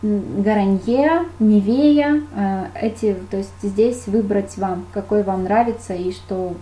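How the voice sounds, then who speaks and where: In a room with audible echo, a woman at a medium pitch speaks at a very slow pace. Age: 30s. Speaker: makeup artist. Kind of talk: webinar lecture. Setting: online webinar.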